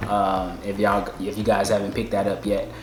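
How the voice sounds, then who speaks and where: A man talks fairly quickly in a space with audible room echo, and noticeable background noise can be heard. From Alabama, Birmingham. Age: 20s. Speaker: dental student and army veteran. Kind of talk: casual chat.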